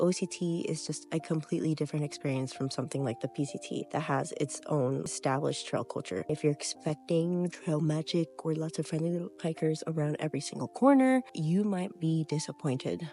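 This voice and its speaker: With music in the background, a woman speaks at a fairly quick pace in a very deep, low pitch. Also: ordinary pitch variation, hardly any pauses. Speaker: thru-hiker. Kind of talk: casual talk to camera.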